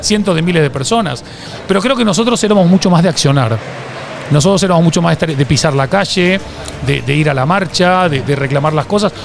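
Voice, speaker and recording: With an Argentine accent, a man speaks very fast in a high voice over noticeable background noise. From Argentina. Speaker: branding expert and author. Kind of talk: interview.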